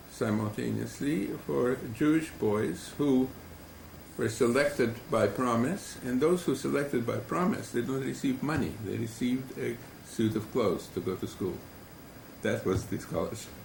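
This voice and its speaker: Audible room echo carries a man's medium-pitched voice as he talks at a moderate pace with lively intonation. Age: 70s. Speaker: family historian. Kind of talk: oral history testimony. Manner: measured, with fillers.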